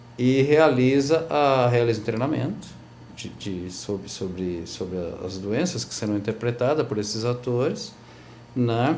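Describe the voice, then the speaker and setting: With audible room echo, a man speaks fairly slowly and with lively intonation. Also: medium pitch for a man. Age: 60s. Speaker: actor and theatre teacher. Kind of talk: TV interview. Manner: halting, many repetitions and fillers.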